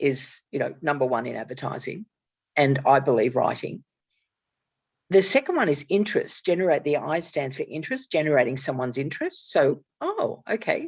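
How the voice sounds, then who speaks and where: A woman speaks with an Australian accent and very wide pitch swings. The background is quiet. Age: 60s. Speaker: author and networking strategist. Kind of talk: casual conversation.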